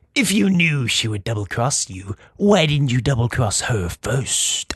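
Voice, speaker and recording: A man uses a put-on character voice at medium pitch, speaking at a moderate pace. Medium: read story.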